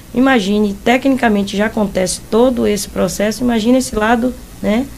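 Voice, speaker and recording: This woman's pitch sits in the medium range. Noticeable noise runs in the background. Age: 60s. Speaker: football coach. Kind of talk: interview.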